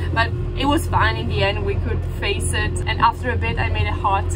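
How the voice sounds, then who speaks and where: Female voice at a moderate pace, with music in the background. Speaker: sailing vlogger. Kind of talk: casual vlog chat. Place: boat. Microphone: phone near.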